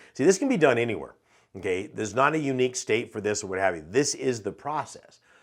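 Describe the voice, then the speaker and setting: Over a silent background in a very clean recording, a man speaks very fast in an animated tone, his medium-pitched voice rising and falling with lively intonation. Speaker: real estate investing educator. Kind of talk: tutorial.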